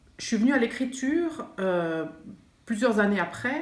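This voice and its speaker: Amid audible room echo and noticeable background noise, a woman speaks at a moderate pace with very wide pitch swings. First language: not French (French is third language) (speaking French). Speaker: writer and art teacher. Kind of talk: interview monologue. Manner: halting, many hesitations.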